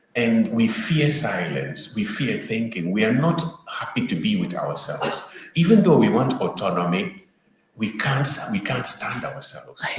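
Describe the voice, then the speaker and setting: Audible room echo surrounds a man speaking at a medium pitch. His pitch swings very widely at a moderate pace. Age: 50s. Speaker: panel speaker. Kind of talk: panel discussion.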